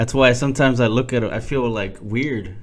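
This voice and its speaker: In an American accent, a man talks at a moderate pace and medium pitch, with audible room echo. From Texas, San Antonio. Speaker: podcast host. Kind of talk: casual chat.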